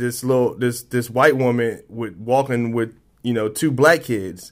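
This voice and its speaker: In an American accent, a man with a medium-pitched voice talks at a moderate pace with fairly even intonation, on a very clean recording over a silent background. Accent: people say he speaks proper. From military family, raised around the US and abroad. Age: 30s. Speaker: recently released inmate in recovery. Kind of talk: personal testimony interview. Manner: halting, repeats words.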